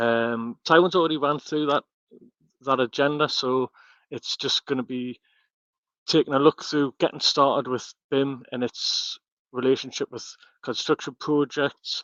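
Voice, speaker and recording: In a strong northeast English accent, a man with a fairly high pitch talks with long, frequent pauses, the sound dry and close with no echo against a quiet background. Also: fairly even intonation, fairly slow pace. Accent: heavy northeast English. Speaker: architectural technologist and BIM content director. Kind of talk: webinar presentation. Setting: online webinar. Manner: halting, many fillers and repetitions.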